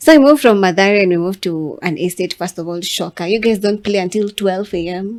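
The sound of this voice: Moving at a fairly quick pace, a woman speaks at medium pitch with a slightly mellow tone and ordinary pitch variation.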